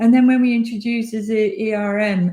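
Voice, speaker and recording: A somewhat breathy woman with a dark, mellow tone talks at a fairly slow pace against a quiet background. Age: 60s. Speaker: energy industry panelist. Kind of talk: panel discussion.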